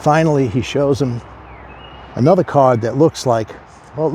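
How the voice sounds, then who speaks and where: A man of medium pitch speaks at a moderate pace with lively intonation, with noticeable background noise behind him. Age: 60s. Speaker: addiction recovery speaker. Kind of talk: casual talk to camera.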